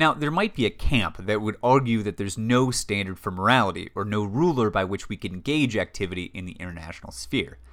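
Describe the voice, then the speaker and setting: The recording is very clean, with a silent background. A man with an unremarkable speaking voice talks with lively intonation and hardly any pauses. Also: fairly low pitch for a man, fairly quick pace. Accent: American. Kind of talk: scripted narration.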